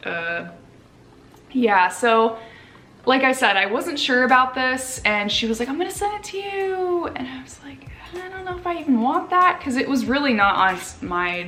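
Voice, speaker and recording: An animated voice with very wide pitch swings and big jumps in loudness, heard over noticeable background noise and audible room echo. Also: woman, high pitch for a woman, moderate pace. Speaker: lifestyle vlogger. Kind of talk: casual haul video chat.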